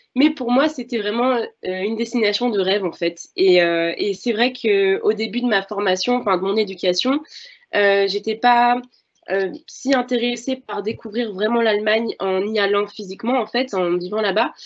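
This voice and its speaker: A woman speaks at a moderate pace in a fairly high pitch with ordinary pitch variation. The background is quiet. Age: 20s. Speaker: French language assistant. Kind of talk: testimony. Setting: video conference. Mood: friendly, relaxed. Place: home room. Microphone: video call.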